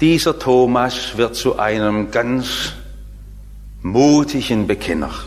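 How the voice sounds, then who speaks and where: Noticeable background noise sits behind a man speaking at a very slow pace with long, frequent pauses. His medium pitch shows ordinary variation. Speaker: preacher. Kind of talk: sermon. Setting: church. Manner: formal; earnest.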